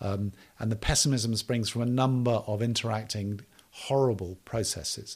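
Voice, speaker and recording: A man speaks with fairly even intonation. There is a somewhat breathy quality to his voice. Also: medium pitch for a man, moderate pace. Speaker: development policy advisor and author. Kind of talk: interview.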